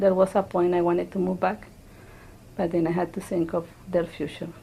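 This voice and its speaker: In a Spanish accent, a woman speaks fairly quickly at a fairly low pitch, her dark, mellow, somewhat breathy voice flat and monotone. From Colombia. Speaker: immigrant interviewee. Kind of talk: interview testimony. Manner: halting.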